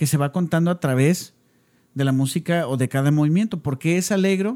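Fairly quick and fairly high, a man's dark, mellow voice carries ordinary pitch variation and sounds dry and close with no echo. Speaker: podcast co-host. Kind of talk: casual chat. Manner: animated.

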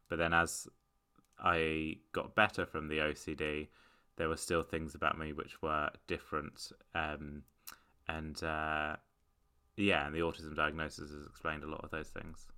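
Speaking with a British accent, a man with a very deep, low pitch and a bright, sharp tone talks at a fairly slow pace in a monotone, flat way, leaving long, frequent pauses, on a very clean recording with a silent background. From UK. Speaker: stand-up comedian. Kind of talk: casual interview chat. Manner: hesitant, many fillers.

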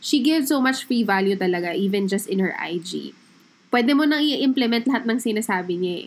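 A woman speaks with a fairly high pitch and a somewhat breathy voice. Her intonation is lively and her pace fairly quick. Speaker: podcast co-host. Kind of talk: casual chat.

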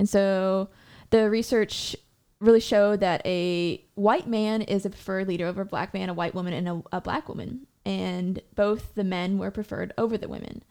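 A woman speaks in a dark, mellow tone. She keeps a moderate pace. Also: medium pitch for a woman, fairly even intonation. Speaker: podcast co-host, brass player. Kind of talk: casual chat.

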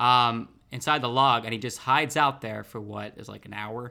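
An ordinary speaking voice from a man at medium pitch, with fairly even intonation and a very clean recording with a silent background. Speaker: podcast co-host. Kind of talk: casual banter podcast chat.

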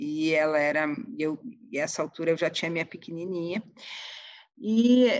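Against a quiet background, a woman with a plain, everyday voice speaks in a fairly low pitch with ordinary pitch variation. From Rio Grande do Sul, Brazil (Porto Alegre). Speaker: senate director-general. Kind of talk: interview conversation.

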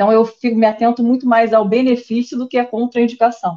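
At a very fast pace, a woman with a fairly high pitch talks in a dark, mellow tone with fairly even intonation. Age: 30s. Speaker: nutritionist, pregnant trainee. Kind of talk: casual chat.

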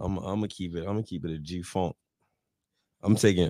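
A dark, mellow tone runs at a very fast pace with fairly even intonation on a very clean recording with a silent background. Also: man. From Englewood. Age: 20s. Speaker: podcast co-host. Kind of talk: casual chat.

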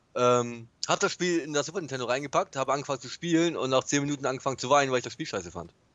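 With an unremarkable speaking voice, a man talks at a fairly quick pace in a medium pitch with lively intonation. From northern Germany, Bremen. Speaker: podcast co-host. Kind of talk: casual chat.

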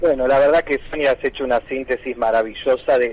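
Recorded dry and close with no echo, a man talks at a moderate pace over noticeable background noise. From Tandil, Buenos Aires province, Argentina. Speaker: history teacher and book author. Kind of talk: radio interview.

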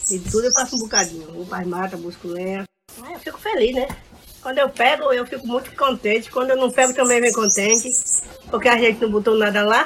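A woman talks at a very fast pace in a fairly high pitch with ordinary pitch variation and big swings in loudness. Noticeable background noise sits behind her. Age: 60s. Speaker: fisherwoman. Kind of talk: casual interview.

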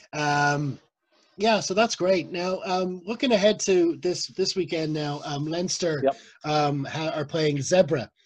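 A man with a high-pitched voice and ordinary pitch variation. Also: fairly slow pace. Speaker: podcast host. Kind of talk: casual interview. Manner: halting.

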